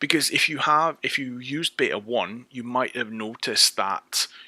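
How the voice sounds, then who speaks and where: On a very clean recording with a silent background, the sound is dry and close with no echo. A man with a British accent speaks at a moderate pace in a medium pitch, his tone bright and sharp and his pitch variation ordinary. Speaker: software developer. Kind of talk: tutorial. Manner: casual, with frequent fillers and restarts.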